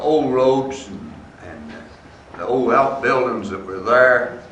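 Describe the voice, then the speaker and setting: There is audible room echo and noticeable background noise. A man speaks at a medium pitch and a fairly slow pace. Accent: Southern Appalachian. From US South, East Tennessee. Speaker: former resident giving a history talk. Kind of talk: public talk, personal reminiscence. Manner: halting, with frequent fillers.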